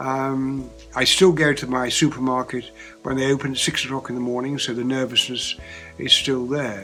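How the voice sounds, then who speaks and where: A man speaks in a fairly high pitch, with music playing in the background. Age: 80s+. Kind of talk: interview answer.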